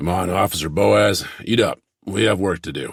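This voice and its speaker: A man puts on a raspy character voice with a very deep, low pitch and keeps a moderate pace. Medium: read story.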